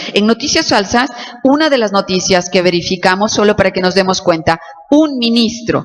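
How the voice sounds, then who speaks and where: Intonation stays lively while the delivery runs fairly slowly. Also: woman. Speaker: law professor. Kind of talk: lecture. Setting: auditorium with audience.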